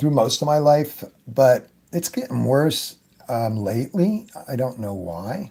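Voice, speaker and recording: A man speaks in a medium pitch with a dark, mellow tone and somewhat breathy. His pitch swings very widely. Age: 70s. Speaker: airbrush artist. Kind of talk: tutorial. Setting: live stream. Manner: casual.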